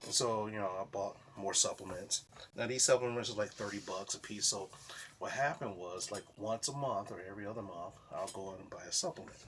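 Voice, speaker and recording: A man's fairly low voice holds fairly even intonation over noticeable background noise. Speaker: vlogger. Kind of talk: casual vlog monologue. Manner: halting, self-described stuttering.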